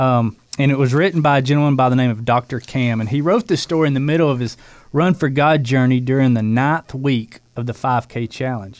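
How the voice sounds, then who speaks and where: A man with a plain, everyday voice speaks at a fairly quick pace, medium in pitch with ordinary pitch variation. The recording is very clean, with a silent background. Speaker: running program co-host. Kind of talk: casual chat.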